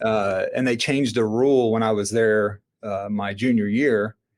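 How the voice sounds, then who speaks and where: Speaking with a Southern accent, this man has a medium pitch. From US South, Florida panhandle. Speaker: entrepreneur and army veteran. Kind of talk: podcast interview. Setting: remote, own studio setup.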